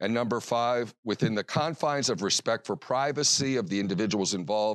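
Recorded dry and close with no echo against a quiet background, a man in an ordinary speaking voice talks at a medium pitch with ordinary pitch variation. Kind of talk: lecture.

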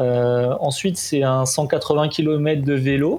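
A man with a fairly high pitch speaks in a monotone, with flat intonation. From southern France, Golfe-Juan. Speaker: triathlete. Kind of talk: interview. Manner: casual, hesitant with fillers.

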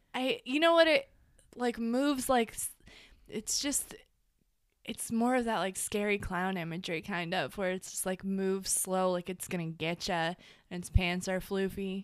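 With lively intonation and big swings in loudness, a woman at medium pitch talks at a moderate pace in a normal speaking voice, on a very clean recording with a silent background. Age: 20s. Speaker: podcast co-host. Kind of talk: casual chat.

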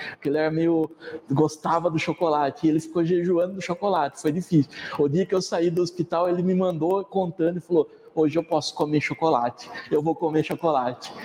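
A man speaks at a fairly quick pace in a high voice, with fairly even intonation, very even loudness and noticeable background noise. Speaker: evangelist. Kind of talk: sermon. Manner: casual, hesitant with fillers.

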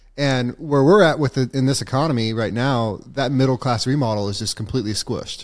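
An unremarkable speaking voice from a man, medium in pitch with ordinary pitch variation, at a fairly quick pace with hardly any pauses. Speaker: podcast host. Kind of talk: casual interview chat.

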